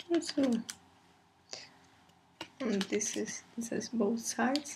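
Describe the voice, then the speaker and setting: A quiet woman at a fairly high pitch, with ordinary pitch variation, a very slow pace and noticeable background noise. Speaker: K-pop fan vlogger. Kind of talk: casual unboxing talk to camera. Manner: low-key, quiet.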